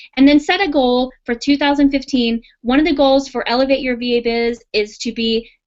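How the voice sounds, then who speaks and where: A woman talks at a fairly quick pace. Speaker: virtual assistant business coach. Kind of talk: webinar class with live Q&A. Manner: fast; animated.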